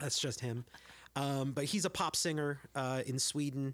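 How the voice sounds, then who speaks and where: A man speaks with an American accent in a flat, monotone way. His pitch is fairly high for a man. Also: very clean recording, silent background. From US, San Jose, California. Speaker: singer-songwriter and children's worker. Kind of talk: casual chat.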